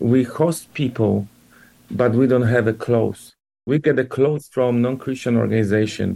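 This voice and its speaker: On a very clean recording with a silent background, a man with a Polish accent speaks at a moderate pace and medium pitch, his tone dark and mellow, with ordinary pitch variation and very even loudness. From Poland. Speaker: church leader. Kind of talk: interview. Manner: halting.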